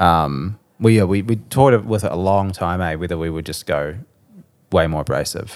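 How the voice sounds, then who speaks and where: A man's very deep, low voice with a New Zealand accent, at a moderate pace with ordinary pitch variation, on a very clean recording with a silent background. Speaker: musician. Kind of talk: casual chat.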